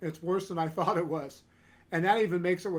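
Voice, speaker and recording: The delivery comes at a very fast pace, with fairly even intonation. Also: man. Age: 60s. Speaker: animal welfare advocate, former law enforcement. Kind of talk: podcast interview. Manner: halting, with repeated restarts.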